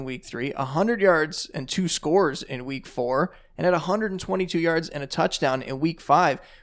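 An unremarkable speaking voice from a man, fairly high in pitch, at a moderate pace, on a very clean recording with a silent background. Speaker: fantasy football podcast host. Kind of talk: podcast discussion, casual sports analysis.

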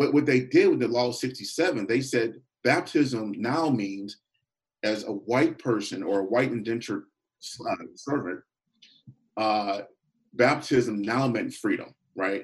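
Speaking very slowly with long, frequent pauses, a man with an American accent uses a medium pitch and ordinary pitch variation. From Pittsburgh, Pennsylvania. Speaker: author and consultant. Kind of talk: radio interview.

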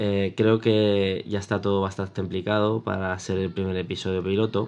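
A man's fairly low voice at a fairly slow pace. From Spain, Catalonia (Mataró, Barcelona). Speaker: tech podcaster, security technician. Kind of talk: solo podcast monologue. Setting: home recording with video. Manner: halting, many repetitions.

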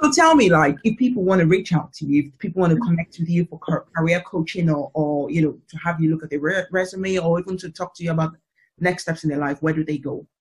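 Very fast, animated delivery in a British accent. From Britain, of African family. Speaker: podcast host. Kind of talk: casual interview chat.

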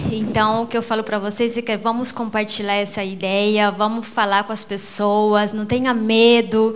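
A woman speaks at a fairly high pitch with fairly even intonation. Noticeable background noise runs behind her. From Brazil, Mato Grosso (Rondonópolis). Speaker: businesswoman, network marketing. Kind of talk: motivational speech.

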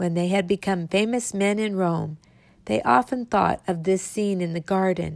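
Someone is reading aloud in a natural voice.

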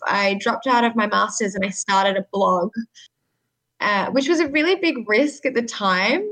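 With an Australian accent, a woman speaks at a moderate pace in a fairly high pitch. Her intonation is lively and her loudness very even. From Sydney, Australia. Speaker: communications manager at a nonprofit. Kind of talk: interview.

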